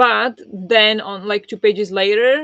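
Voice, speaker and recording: At a moderate pace, a woman with a non-native accent speaks at medium pitch with fairly even intonation. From small poor country. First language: not English. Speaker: book club host and book video creator. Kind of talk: live-streamed book discussion, reading chat comments. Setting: live stream with chat. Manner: casual, hesitant with fillers.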